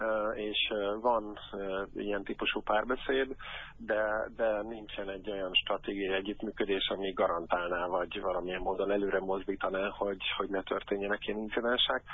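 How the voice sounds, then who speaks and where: Fairly low male speech, monotone and flat, at a moderate pace. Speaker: anti-racism football activist. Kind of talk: interview. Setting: phone call. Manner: halting.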